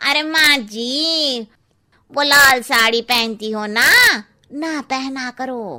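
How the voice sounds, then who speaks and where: At a very slow pace, a woman performs a cartoonish character voice at a high pitch. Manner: blunt.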